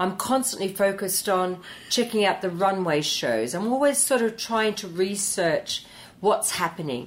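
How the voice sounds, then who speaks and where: A woman has an ordinary speaking voice at a medium pitch. She speaks at a moderate pace with lively intonation. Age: 60s. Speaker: hairdressing educator. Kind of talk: interview conversation. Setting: studio.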